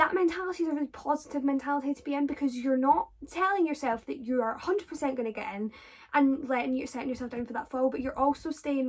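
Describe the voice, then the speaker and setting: Speaking very fast, a woman uses a high pitch with ordinary pitch variation. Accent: Scottish. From Scotland. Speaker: drama student vlogger. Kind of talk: casual Q&A vlog. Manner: animated.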